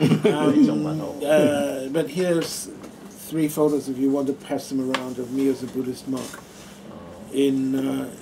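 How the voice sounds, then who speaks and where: Noticeable background noise fills the recording. A man talks with fairly even intonation. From Adelaide, Australia. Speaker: former Buddhist monk. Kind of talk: talk to an audience. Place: meeting room.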